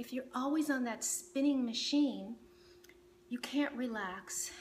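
A woman speaks at a high pitch in a calm, soothing tone, at a fairly slow pace. Light background noise sits behind her voice. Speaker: meditation teacher. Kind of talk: guided meditation. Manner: calm, slow, soothing; gentle, instructive. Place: home room.

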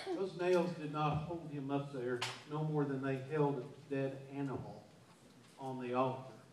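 Speaking with long, frequent pauses at a moderate pace, a man with a fairly high pitch keeps a fairly even intonation against noticeable background noise. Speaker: pastor. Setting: church. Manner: earnest and emphatic, punching key words with repetition; halting, frequently stammers and restarts mid-sentence. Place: church.

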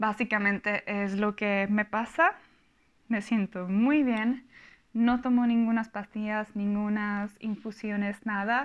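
Against a quiet background, a woman with a Czech accent speaks at a very slow pace with a fairly high pitch. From Czech Republic. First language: Czech (speaking Spanish). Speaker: vlogger. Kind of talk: casual vlog monologue; casual vlog chat. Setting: home recording. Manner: halting. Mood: calm, personal, reflective. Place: home room. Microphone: lapel.

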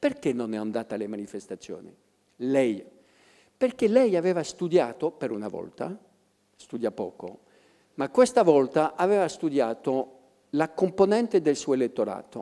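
Against a quiet background, a man speaks at a moderate pace with long, frequent pauses. His fairly high, dark and mellow voice swings very widely in pitch. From France. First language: French (speaking Italian). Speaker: professor of political history; public guest. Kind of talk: public talk. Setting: stage with audience. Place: stage. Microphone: handheld.

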